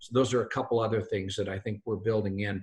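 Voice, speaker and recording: Against a quiet background, a man of medium pitch sounds somewhat breathy, with monotone, flat intonation. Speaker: company founder. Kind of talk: webinar presentation. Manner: fast.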